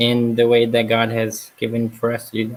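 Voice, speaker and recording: Medium pitch marks this man's voice. He keeps a moderate pace. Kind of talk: casual chat. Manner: hesitant, many fillers.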